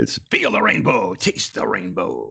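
A man puts on a character voice and talks at a fairly slow pace. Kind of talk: peppy advertising voice. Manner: bright, upbeat.

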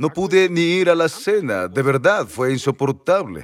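With lively intonation and an animated tone, a man talks with vocal fry. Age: 80s+. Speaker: preacher. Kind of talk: sermon.

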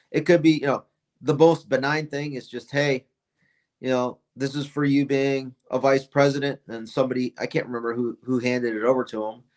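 A man with an American accent speaks at a fairly quick pace in a fairly high pitch. It is a normal speaking voice with fairly even intonation. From upstate New York. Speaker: retired army officer. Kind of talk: political interview.

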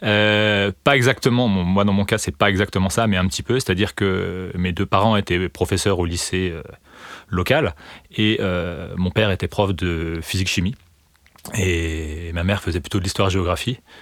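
A man with a very deep, low pitch talks at a moderate pace, his pitch varying in an ordinary way, on a very clean recording with a silent background. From eastern France (Vosges). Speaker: mathematics lecturer and researcher. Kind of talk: interview. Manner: halting, many fillers and repetitions.

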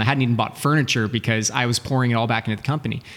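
Speaking at a very fast pace, a man keeps a medium pitch and fairly even intonation over noticeable background noise. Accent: American. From Texas, Dallas. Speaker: sales and business coach. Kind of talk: interview.

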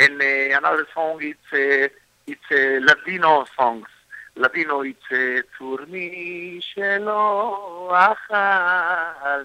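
Speaking at a very slow pace with an Israeli accent, a man uses a high pitch and ordinary pitch variation, his loudness swinging widely. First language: Hebrew. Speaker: singer and composer. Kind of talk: interview. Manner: halting.

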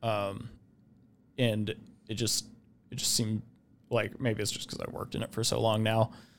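A man's fairly low voice with an American accent and fairly even intonation, in a very clean recording with a silent background. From Idaho, Boise. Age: young. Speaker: software engineer. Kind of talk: casual interview. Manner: hesitant, many filler words.

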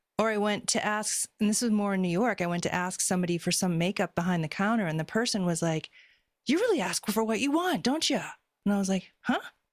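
Talking very fast at a medium pitch with ordinary pitch variation and very even loudness, a woman comes through on a very clean recording with a silent background. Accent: American. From Boston, US. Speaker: spiritual healer. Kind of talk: casual chat.

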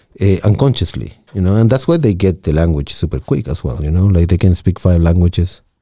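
A man with a Spanish accent speaks at a fairly quick clip with hardly any pauses, his very deep, low voice dark and mellow, somewhat breathy, and carried by lively intonation. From Chile. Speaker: radio technician and musician. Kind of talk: casual chat.

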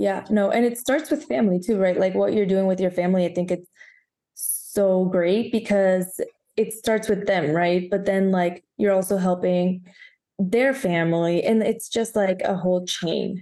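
A woman's dark, mellow tone with a Spanish accent, at a moderate pace and very even loudness. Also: medium pitch for a woman, ordinary pitch variation. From Guatemala. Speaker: podcast host. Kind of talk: casual interview.

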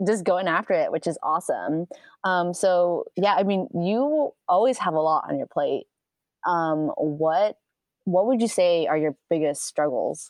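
A woman with a plain, everyday voice, fairly low-pitched, at a fairly slow pace. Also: ordinary pitch variation. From New York (Bronx). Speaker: podcast host, photographer. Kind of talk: casual chat.

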